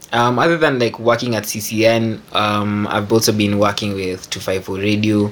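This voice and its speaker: Over noticeable background noise, a man speaks in a fairly low voice with fairly even intonation. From Kenya. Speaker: music producer. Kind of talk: casual chat. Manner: halting, many fillers.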